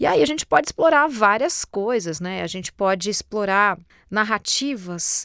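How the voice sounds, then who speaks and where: A woman speaks at a fairly slow pace and medium pitch, in a very clean recording that is dry and close, with no echo and a silent background. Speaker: voice-over artist and presenter. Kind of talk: podcast monologue. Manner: hesitant, repeats words.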